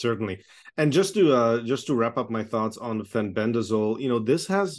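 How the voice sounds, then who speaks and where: Over a quiet background, a man with a fairly low pitch speaks at a moderate pace. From Czechoslovakia, then Toronto, Canada. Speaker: oncologist. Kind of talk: interview.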